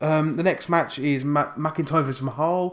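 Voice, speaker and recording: A man's fairly high voice with an English accent, on a very clean recording with a silent background. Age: 20s. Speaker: wrestling YouTuber. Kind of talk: casual vlog. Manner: fast; animated.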